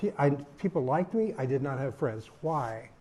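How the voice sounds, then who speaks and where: A man with an American accent speaks at a moderate pace and a fairly high pitch. His tone is dark and mellow and somewhat breathy. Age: 80s+. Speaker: podcast co-host and activist. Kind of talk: personal talk, life stories. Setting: retirement community talk.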